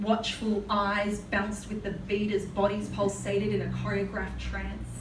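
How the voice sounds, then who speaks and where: There is noticeable background noise. A woman with an Australian accent speaks at a moderate pace. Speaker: spoken word poet. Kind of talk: live spoken word poetry performance. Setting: live venue.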